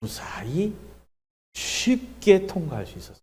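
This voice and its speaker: In a room with audible echo, a man with a dark, mellow tone and vocal fry speaks at a very slow pace, his pitch swinging very widely. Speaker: pastor. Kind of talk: sermon. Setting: church revival meeting.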